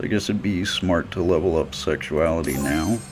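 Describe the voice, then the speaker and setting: A man talks at a fairly slow pace in a very deep, low pitch. His intonation is lively, with music in the background. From US South. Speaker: gaming YouTuber. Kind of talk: gameplay commentary. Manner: casual, chatty.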